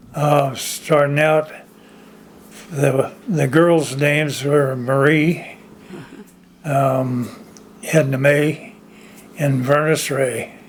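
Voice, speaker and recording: A man with a fairly high pitch speaks at a very slow pace with very even loudness and long, frequent pauses, in audible room echo. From Orangevale, California (moved from Oklahoma as a child). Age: 90s. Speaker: oral history interviewee. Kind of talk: oral history interview. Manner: halting, many fillers.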